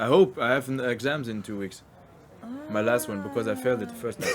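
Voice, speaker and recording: Talking very fast, a man with a strong non-native accent speaks at medium pitch with ordinary pitch variation. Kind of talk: casual podcast conversation.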